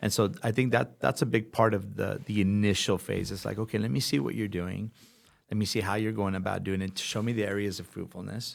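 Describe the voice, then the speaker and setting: A man with an ordinary speaking voice talks at a fairly quick pace and a fairly low pitch. His pitch varies in an ordinary way, and the recording is very clean with a silent background. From Los Angeles, California (born in Brooklyn). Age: 50s. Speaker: pastor. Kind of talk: interview conversation.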